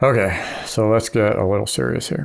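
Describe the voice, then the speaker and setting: With lively intonation and a fairly low pitch, a man talks at a moderate pace. Vocal fry runs through his voice. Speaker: podcast co-host. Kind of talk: casual chat. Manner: halting.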